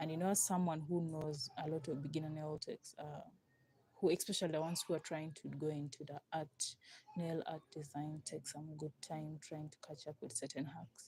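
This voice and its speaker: Her voice is very deep and low, dark, mellow and somewhat breathy. The woman speaks at a moderate pace with big swings in loudness. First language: not English. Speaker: nail artist livestreamer. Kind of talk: live tutorial. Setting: live stream. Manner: casual, halting.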